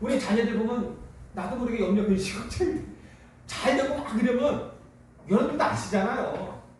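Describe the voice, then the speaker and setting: A man speaks with an extremely high pitch and ordinary pitch variation, leaving long, frequent pauses. Noticeable background noise and audible room echo surround his voice. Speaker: pastor. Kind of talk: sermon. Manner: fast.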